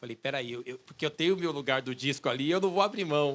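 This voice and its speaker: A man with an ordinary speaking voice talks at a fairly quick pace with lively intonation. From São Paulo, east zone. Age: 40s. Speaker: musician and researcher. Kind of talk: public talk, conversational. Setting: outdoor bandstand with audience.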